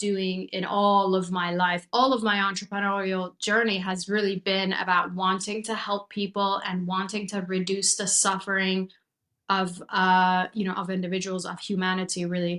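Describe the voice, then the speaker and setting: A woman speaks with a Persian accent at medium pitch and a moderate pace. Her intonation is monotone and flat. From Iran, moved to US at 16. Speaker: chiropractor and mindset coach. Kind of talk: podcast interview, personal story.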